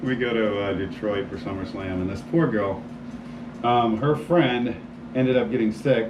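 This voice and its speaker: With an American accent and a medium pitch, a man talks at a moderate pace with ordinary pitch variation, backed by noticeable background noise and audible room echo. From Florida, US. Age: 50s. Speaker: homeowner, sales prospect. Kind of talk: casual chat. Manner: animated.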